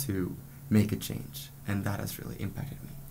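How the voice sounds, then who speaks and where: In an ordinary speaking voice, the speaker talks at a fairly slow pace over light background noise. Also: man. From Sweden. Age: 19. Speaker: touring performer; guest. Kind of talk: interview answers. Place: studio. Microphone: studio mic.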